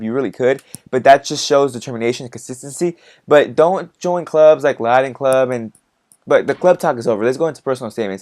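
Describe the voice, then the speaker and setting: A man's animated, very fast speech with an American accent and ordinary pitch variation. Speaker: college student youtuber. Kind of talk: casual advice vlog.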